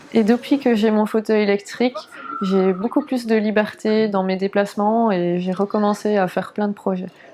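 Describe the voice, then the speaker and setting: A woman speaks at a moderate pace with a fairly high pitch and fairly even intonation, noticeable background noise around her. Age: 20s. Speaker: wheelchair user; translator. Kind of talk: documentary interview answer. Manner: hesitant, many fillers.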